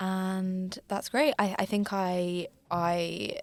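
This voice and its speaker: A woman speaks with a southern English accent. Her pitch is fairly low. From outskirts of London, England. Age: 20s. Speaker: podcast co-host, university student. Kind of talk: casual podcast chat. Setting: recording booth.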